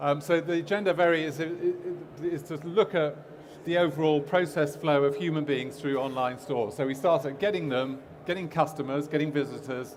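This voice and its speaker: The speech has fairly even intonation and audible room echo. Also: man, fairly high pitch for a man. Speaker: e-commerce agency owner, conference speaker. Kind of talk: conference talk. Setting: stage with audience. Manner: fast; halting, many fillers.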